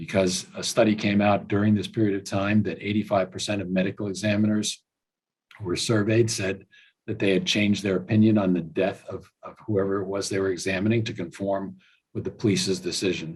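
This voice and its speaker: The man's pitch is fairly low and his intonation monotone and flat. He moves at a fairly quick pace. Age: 70s. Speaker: professor. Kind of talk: panel discussion. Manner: halting.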